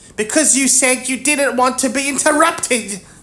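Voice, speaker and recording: In a put-on character voice, high-pitched and shaky, the speaker moves at a moderate pace. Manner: meek, quavering.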